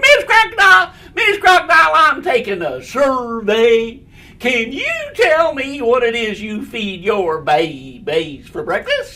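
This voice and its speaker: Fairly slow pace from a put-on character voice with fairly high pitch. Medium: read story. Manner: eager, chirpy.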